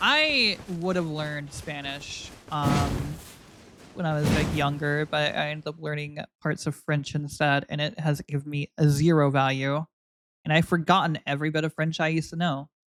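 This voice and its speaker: Her pitch sits very deep and low as the woman speaks at a moderate pace. Music plays in the background. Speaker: video game streamer. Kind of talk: live gameplay stream commentary. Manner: stumbles over words; casual, hesitant with fillers.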